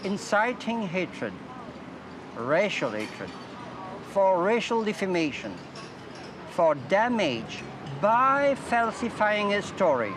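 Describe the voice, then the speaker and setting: A man with a French accent speaks at a high pitch and a very slow pace, with lively intonation and long, frequent pauses. Noticeable background noise and audible room echo surround him. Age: 60s. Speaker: university professor. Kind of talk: interview statement. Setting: outdoors in front of a courthouse.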